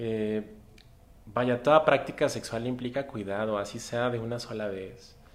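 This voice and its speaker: A man with a normal speaking voice and a medium pitch talks fairly slowly, his intonation fairly even. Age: 30s. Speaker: physician and sexologist. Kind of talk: interview. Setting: live stream from community centre.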